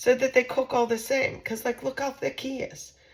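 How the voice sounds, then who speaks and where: A woman speaks at a moderate pace. Noticeable background noise runs beneath her voice. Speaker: home cooking channel host. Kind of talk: casual cooking tutorial. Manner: chatty, conversational with fillers.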